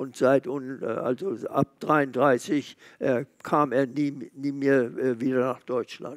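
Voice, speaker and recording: Over a quiet background, a man speaks at a very slow pace. His pitch is fairly high and his intonation fairly even. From Germany. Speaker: Holocaust survivor, eyewitness. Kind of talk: interview answer, recounting memories. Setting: museum event hall with live audience. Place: hall. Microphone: headset.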